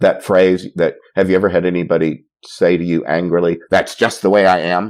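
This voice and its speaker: A man's very deep, low voice at a moderate pace, monotone and flat in intonation, with very even loudness. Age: 60s. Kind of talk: interview conversation. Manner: halting, many fillers and repetitions.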